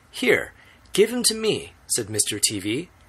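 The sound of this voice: Reading done in an unforced voice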